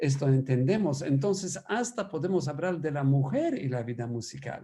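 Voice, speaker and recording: With a Polish accent, a man speaks at a fairly slow pace in a dark, mellow tone with lively intonation. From Poland. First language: Polish (speaking Spanish). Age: 60s. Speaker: priest and musicologist. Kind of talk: lecture. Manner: animated.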